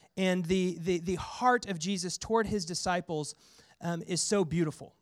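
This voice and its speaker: Heard in a very clean recording with a silent background, a man with a high pitch speaks in an American accent. His pace is moderate and his pitch varies in an ordinary way. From US Midwest, central Missouri. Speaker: pastor. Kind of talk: sermon. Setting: church.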